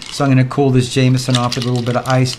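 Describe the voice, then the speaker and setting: A man is speaking with audible room echo. Noticeable background noise is present too. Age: 60s. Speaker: vlogger. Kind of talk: casual vlog monologue. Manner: relaxed, conversational.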